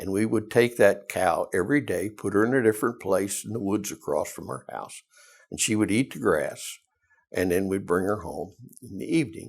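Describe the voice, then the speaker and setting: A man with a Southern US accent and big swings in loudness. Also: moderate pace. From US South. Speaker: retired teacher and principal. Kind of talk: oral history interview. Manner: halting.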